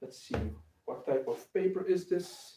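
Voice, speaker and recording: A man with a non-native accent speaks at a fairly slow pace. His tone is dark and mellow, with ordinary pitch variation. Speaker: craft maker, bookbinder. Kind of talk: live stream tutorial. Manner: halting, many filler sounds.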